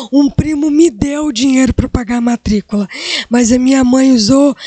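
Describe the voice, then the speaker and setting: A woman's high voice at a moderate pace, with ordinary pitch variation and a dry, close sound with no echo. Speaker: career guest speaker. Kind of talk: motivational talk to students. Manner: animated.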